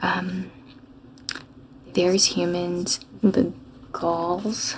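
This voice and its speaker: The speaker is soft-spoken with a calm tone. Noticeable background noise can be heard. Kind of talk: soft-spoken gaming playthrough. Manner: soft-spoken, calm, rambling.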